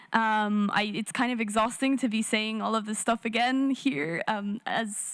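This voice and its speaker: A woman with an Irish accent speaks at a fairly high pitch. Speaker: youth climate activist. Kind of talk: panel discussion.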